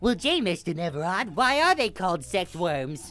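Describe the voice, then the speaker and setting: A put-on character voice, female-sounding, at a medium pitch and a moderate pace. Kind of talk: corny 1950s commercial wholesomeness.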